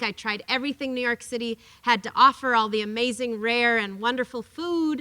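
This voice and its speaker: Loud and quite quick, a woman speaks at a high pitch with a bright, sharp tone and a dry, close sound with no echo. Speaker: workers rights advocate and author. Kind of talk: lecture. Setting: classroom talk with audience. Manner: animated.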